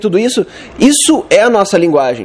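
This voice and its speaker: A man speaks at a moderate pace with a southern Brazilian accent, his pitch high and his intonation lively. Noticeable background noise runs behind him. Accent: southern Brazilian (gaúcho). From Rio Grande do Sul, Porto Alegre. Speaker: web developer, conference speaker. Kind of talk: conference talk. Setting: stage with audience. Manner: casual, conversational.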